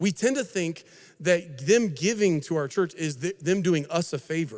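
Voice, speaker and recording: Lively intonation marks this man's speech. His pitch is high for a man. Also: very clean recording, silent background. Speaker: lead pastor. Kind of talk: conference talk. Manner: fast; animated.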